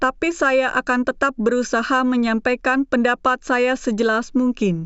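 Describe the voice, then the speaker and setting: A woman with a non-native accent speaks at a moderate pace and a high pitch, with ordinary pitch variation and very even loudness. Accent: non-native Indonesian, self-described. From born in China. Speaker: YouTube reaction commentator. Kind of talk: video commentary intro.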